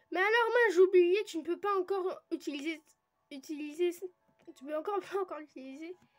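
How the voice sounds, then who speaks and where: An extremely high-pitched woman's voice with ordinary pitch variation over music in the background. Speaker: gaming youtuber. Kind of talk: let's play commentary.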